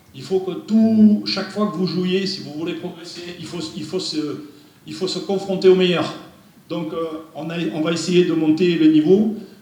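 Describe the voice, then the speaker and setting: In a room with audible echo and noticeable background noise, a man with a high pitch speaks at a fairly slow pace with fairly even intonation and big swings in loudness. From France. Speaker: football technical director. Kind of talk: presentation. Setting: meeting room without microphone.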